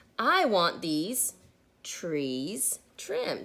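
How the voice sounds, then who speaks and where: A woman's gruff, put-on character voice at a medium pitch, with very wide pitch swings. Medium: read story. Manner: gruff, grumpy.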